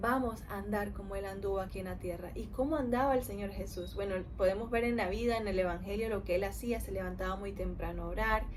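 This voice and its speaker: A woman at a very fast pace with hardly any pauses, amid noticeable background noise and audible room echo. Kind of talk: Bible study teaching.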